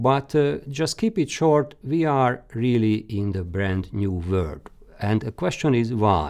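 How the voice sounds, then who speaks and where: A man with a Hungarian accent, fairly low in pitch, at a very slow pace with lively intonation. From Hungary. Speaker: career guidance expert. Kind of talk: lecture. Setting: webinar. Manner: halting.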